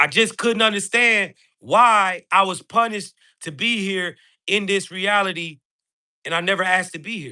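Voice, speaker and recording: Over a quiet background, a man talks in a raised, projected voice at a moderate pace, his tone animated and his loudness swinging widely. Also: ordinary pitch variation. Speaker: live streamer and spiritual speaker. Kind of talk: motivational livestream talk.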